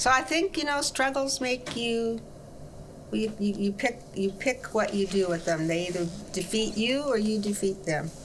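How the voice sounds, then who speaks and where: Against noticeable background noise, a woman talks at a moderate pace with very even loudness. Her fairly high voice has lively intonation. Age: 80s+. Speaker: pastor. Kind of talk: interview.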